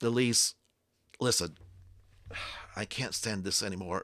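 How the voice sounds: Putting on a raspy character voice, a man speaks at a moderate pace with a fairly low pitch and ordinary pitch variation.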